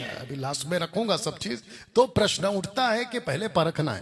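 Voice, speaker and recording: A man with a Telangana accent and very wide pitch swings. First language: Telugu (speaking Hindi). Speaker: pastor and Bible college teacher. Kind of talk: video commentary rebuttal. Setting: with Bible college students.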